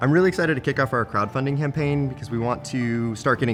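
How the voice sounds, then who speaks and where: A man talks at a very fast pace with ordinary pitch variation while music plays in the background. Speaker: brewpub CEO. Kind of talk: interview answer.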